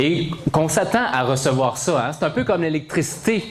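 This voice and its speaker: The speaker's tone is animated and the pitch swings very widely at a fairly slow pace, with audible room echo and noticeable background noise. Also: man. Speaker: motivational speaker, blood recipient. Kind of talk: testimony. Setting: stage with audience.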